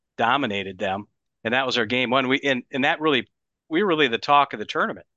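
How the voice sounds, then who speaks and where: A man speaks with lively intonation at a medium pitch, in a normal speaking voice. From Wisconsin. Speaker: hockey writer. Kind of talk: casual chat. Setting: video call.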